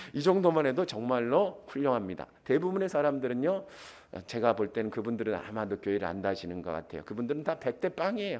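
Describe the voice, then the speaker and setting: Very fast and animated, a man's voice swings very widely in pitch. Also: medium pitch for a man. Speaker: pastor. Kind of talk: sermon. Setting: church.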